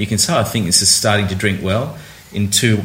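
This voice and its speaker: Over noticeable background noise, a man with an Australian accent and a fairly low pitch talks at a fairly quick pace with fairly even intonation. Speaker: wine critic, senior editor. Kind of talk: casual chat. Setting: on location at a wine tasting. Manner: halting, many repetitions and fillers.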